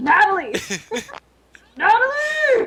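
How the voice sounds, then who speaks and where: Someone shouts in a put-on character voice at extremely high pitch, with very wide pitch swings. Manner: screaming, frantic.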